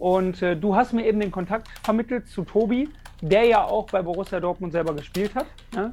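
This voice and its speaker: The speaker is a man with a high pitch. He uses ordinary pitch variation and a moderate pace. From Wuppertal, western Germany. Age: 30s. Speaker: football fan content creator. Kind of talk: casual chat.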